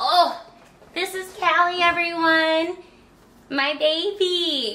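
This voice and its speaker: Raising and projecting her voice, a woman speaks at a very slow pace in an extremely high pitch with a bright, sharp tone, amid light background noise and audible room echo. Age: 20s. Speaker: YouTuber. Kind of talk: unboxing video. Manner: animated.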